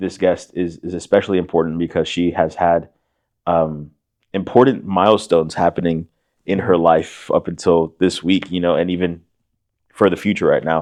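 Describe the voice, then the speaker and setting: A man at a fairly quick pace with a very deep, low pitch. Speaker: podcast co-host. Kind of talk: casual chat. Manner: animated.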